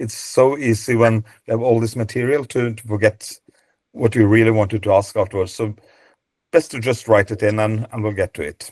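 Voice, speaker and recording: The voice carries a non-native accent and fairly even intonation. The sound is dry and close, with no echo. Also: man, medium pitch for a man, fairly quick pace, quiet background. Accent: non-native, mispronunciations. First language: Norwegian. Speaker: database co-founder, dog breed presenter. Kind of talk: webinar presentation. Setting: video call webinar. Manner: halting, many fillers and repeats.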